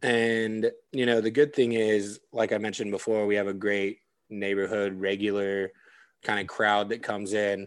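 Against a quiet background, a man with an American accent and a fairly low pitch speaks at a moderate pace in a monotone, flat intonation. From California mountain small town. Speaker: restaurant manager. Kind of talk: casual chat.

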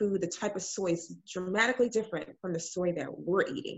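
A woman speaks at a moderate pace with a medium pitch and fairly even intonation, in an ordinary speaking voice. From Illinois, US Midwest; Ghanaian family. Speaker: nurse and fibroids advocate. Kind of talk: podcast interview.

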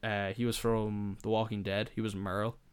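Here a man speaks at a medium pitch and a moderate pace. His intonation is monotone and flat. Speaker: podcast host. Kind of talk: casual chat. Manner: casual, swears often.

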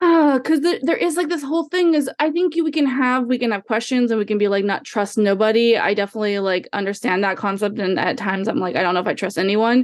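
A woman talks in a normal speaking voice at a fairly high pitch, her intonation lively against a quiet background. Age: 30s. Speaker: podcaster. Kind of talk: casual chat. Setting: video call.

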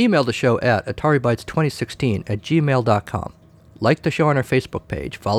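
The voice heard here reads in a natural way.

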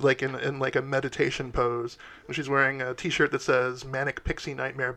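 A text read aloud in a natural voice.

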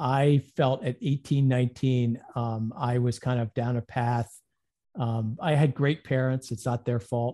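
Speaking in an ordinary speaking voice, a man talks at a fairly slow pace with a medium pitch and fairly even intonation, the sound dry and close with no echo. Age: 50s. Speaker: insurance agent. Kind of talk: interview.

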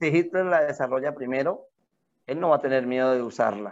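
With lively intonation, a man speaks in a normal speaking voice pitched fairly high. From Colombia. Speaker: podcast co-host. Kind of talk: casual chat.

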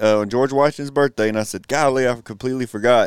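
With a Texan accent and ordinary pitch variation, a man speaks at a medium pitch. The recording is very clean with a silent background, giving a dry, close sound with no echo. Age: 40s. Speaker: podcast co-host, school worker. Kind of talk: casual chat.

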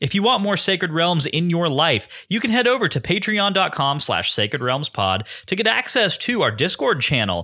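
A man with a fairly high pitch and a bright, sharp tone shows vocal fry and very wide pitch swings at a moderate pace, in a very clean recording with a silent background. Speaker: podcast co-host and producer. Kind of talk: casual chat.

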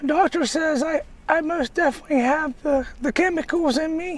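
A man's squeaky put-on character voice, extremely high in pitch, at a moderate pace.

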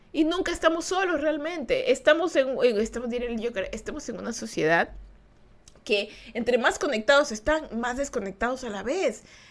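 A woman's high-pitched, animated voice at a moderate pace, with lively intonation and big swings in loudness. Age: 20s. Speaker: podcast host. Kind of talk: casual chat. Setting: live stream.

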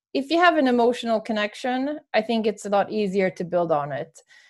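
A woman with a Swedish accent at medium pitch against a quiet background. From Sweden. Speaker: author and sports marketing manager. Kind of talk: casual interview conversation.

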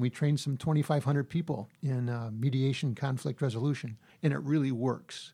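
In a very clean recording with a silent background, a man with a fairly high pitch and a dark, mellow tone talks at a very fast pace, somewhat breathy, with fairly even intonation. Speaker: conflict resolution consultant and mediator. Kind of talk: interview.

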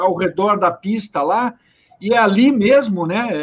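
The man's voice sits at a high pitch. Its pitch variation is ordinary. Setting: video call.

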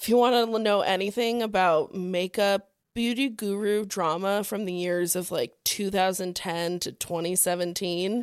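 With hardly any pauses, a woman speaks in a normal speaking voice at a fairly slow pace, with medium pitch and fairly even intonation. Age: 20s. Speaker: podcast co-host. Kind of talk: casual chat.

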